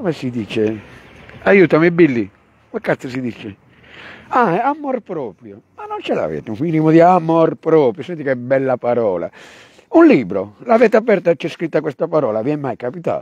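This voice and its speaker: A man with a fairly high pitch talks in an animated tone at a moderate pace, his pitch swinging very widely and his loudness shifting a lot, with long, frequent pauses in a dry, close sound with no echo. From Turin, then Sardinia. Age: 50s. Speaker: rapper. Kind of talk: casual chat. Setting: outdoors.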